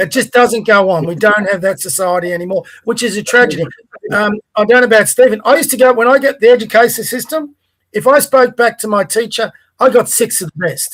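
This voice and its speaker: Speaking fairly quickly with an Australian accent, the man has a high-pitched voice. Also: ordinary pitch variation. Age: 60s. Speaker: podcast co-host. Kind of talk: casual political discussion.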